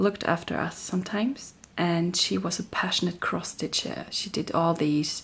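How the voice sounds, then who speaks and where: Her intonation fairly even, a woman speaks in a German accent. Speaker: crafting vlogger. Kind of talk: casual vlog chat. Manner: hesitant, with many fillers.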